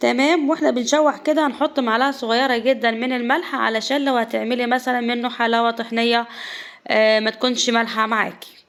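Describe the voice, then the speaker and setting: A high-pitched woman's voice with fairly even intonation, very even loudness and a moderate pace. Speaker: cooking channel host. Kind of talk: cooking tutorial.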